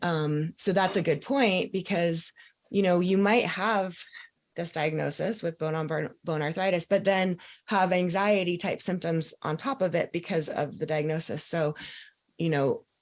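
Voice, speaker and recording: A woman with an unremarkable speaking voice talks at a fairly slow pace against a quiet background. Her pitch is fairly low, with ordinary pitch variation. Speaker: mind-body coach. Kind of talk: live group coaching call.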